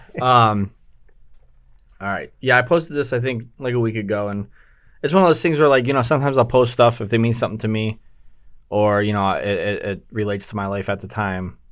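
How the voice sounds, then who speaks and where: A man's mumbling voice at medium pitch, fairly quick, with long and frequent pauses, ordinary pitch variation, and a very clean recording over a silent background. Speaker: podcast co-host, clothing store owner. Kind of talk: casual chat. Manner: mumbling, slight stutter.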